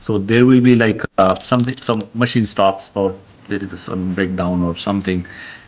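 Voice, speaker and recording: The speaker has a Marathi accent and fairly even intonation. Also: man. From India, rural Maharashtra. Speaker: franchise owner, engineer. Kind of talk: interview conversation.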